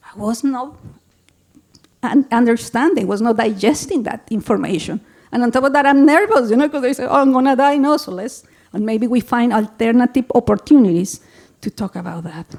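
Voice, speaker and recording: Speaking with a Colombian accent, a woman talks fairly quickly in a high pitch, with lively intonation and big swings in loudness. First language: Spanish. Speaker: public health executive director. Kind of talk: conference presentation. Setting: symposium with audience. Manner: animated.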